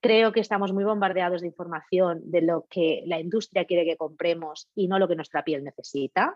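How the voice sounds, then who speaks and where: With a normal speaking voice, a woman talks at a moderate pace in a fairly low pitch, hardly pausing at all. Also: fairly even intonation. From Catalonia, Spain. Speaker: facialist, beauty business owner. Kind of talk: casual interview.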